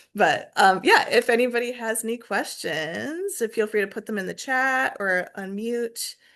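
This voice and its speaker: Against a quiet background, a woman with a fairly high pitch swings very widely up and down in pitch. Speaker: planetarium staff presenter. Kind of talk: webinar presentation and Q&A. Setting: video call.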